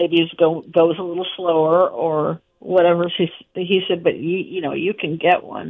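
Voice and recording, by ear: A woman talks at a moderate pace with fairly low pitch. Her voice has a slightly husky edge and fairly even intonation.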